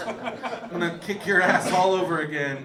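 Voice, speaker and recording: A man speaks in a high pitch with ordinary pitch variation, over noticeable background noise and with audible room echo. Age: 40s. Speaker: stand-up comedian. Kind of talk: stand-up. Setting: stage with audience.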